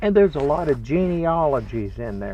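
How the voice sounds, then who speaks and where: Through noticeable background noise, a man speaks fairly quickly. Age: 70s. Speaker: religious teacher. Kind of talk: spiritual talk. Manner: folksy, conversational.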